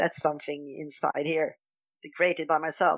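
A woman talks with a Swedish accent. The sound is dry and close, with no echo. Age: 50s. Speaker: dietary coach, retreat organiser. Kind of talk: interview. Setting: laundry room, remote call.

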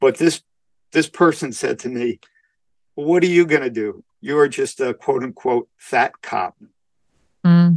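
In a New York accent, a man with a fairly high pitch talks at a fairly slow pace, leaving long, frequent pauses. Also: ordinary pitch variation, dry, close sound with no echo. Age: 60s. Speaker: community service club president. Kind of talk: interview. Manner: halting, with many fillers.

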